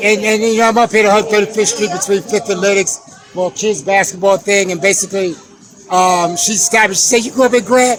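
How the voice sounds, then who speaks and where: Over music in the background, a man talks at a very fast pace with high pitch and fairly even intonation. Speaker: documentary maker. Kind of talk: street interview.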